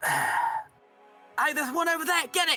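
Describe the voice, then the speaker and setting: A put-on character voice speaks at a fairly slow pace in an extremely high pitch. Faint music plays in the background. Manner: urgent, commanding.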